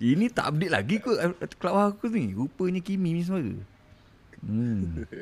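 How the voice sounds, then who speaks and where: Speaking at a moderate pace, the voice swings very widely in pitch and breaks often into long pauses. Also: man, high pitch for a man. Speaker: podcast host. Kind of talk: casual chat. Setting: live audio chat room.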